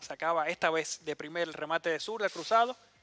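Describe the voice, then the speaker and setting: Bright and sharp in tone, a man speaks at a high pitch with ordinary pitch variation in a dry, close sound with no echo. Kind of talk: live sports commentary, co-commentator analysis. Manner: measured, explanatory, conversational.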